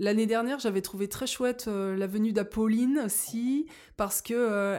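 This woman has a normal speaking voice, fairly high in pitch, with fairly even intonation at a moderate pace. The recording is very clean and the background silent. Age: 40s. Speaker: school chaperone. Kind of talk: casual chat.

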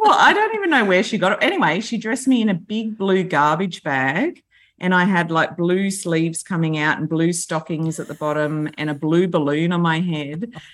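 On a very clean recording with a silent background, a woman with an Australian accent speaks at a moderate pace and fairly low pitch, with ordinary pitch variation and hardly any pauses. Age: 40s. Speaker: school principal. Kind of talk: casual chat.

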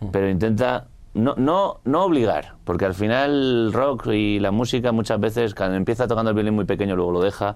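Using a normal speaking voice, a man talks at a fairly quick pace with a fairly low pitch, ordinary pitch variation, very even loudness and hardly any pauses. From Spain, Madrid area. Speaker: rock musician. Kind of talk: casual interview.

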